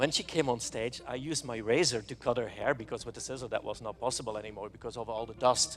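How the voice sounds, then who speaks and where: A man's medium-pitched voice at a very fast pace, with hardly any pauses and big swings in loudness. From Belgium. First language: not English. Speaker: hairstylist. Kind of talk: live stage demonstration. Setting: stage with audience. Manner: animated.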